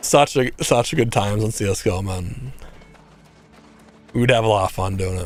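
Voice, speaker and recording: Music plays behind a man with a fairly low pitch and ordinary pitch variation. He talks at a fairly quick pace but with long, frequent pauses. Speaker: streamer. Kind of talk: casual chat. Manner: animated.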